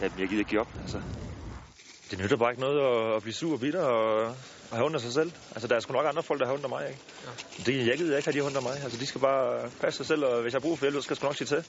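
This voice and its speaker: Very fast speech comes from a man with a medium pitch and ordinary pitch variation. Noticeable background noise is present. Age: 20s. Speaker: injured soldier. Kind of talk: casual interview.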